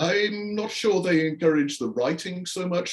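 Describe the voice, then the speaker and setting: A man with a slight English accent talks at a fairly quick pace. Noticeable background noise sits behind him. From northern England, Yorkshire. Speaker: astrophysicist and sci-fi author. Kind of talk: interview.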